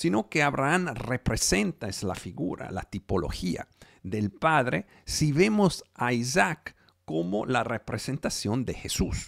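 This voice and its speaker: A man with a non-native accent and a medium-pitched voice speaks very slowly with very wide pitch swings, the sound dry and close with no echo. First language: not Spanish (speaking Spanish). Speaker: preacher. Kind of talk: sermon. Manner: halting.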